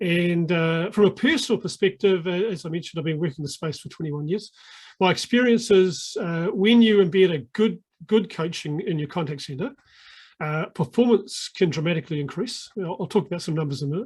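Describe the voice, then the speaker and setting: Speaking at a fairly quick pace with a New Zealand accent, a man uses a high pitch and ordinary pitch variation on a very clean recording with a silent background. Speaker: sales coaching consultant. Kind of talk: podcast interview. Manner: hesitant, many filler words.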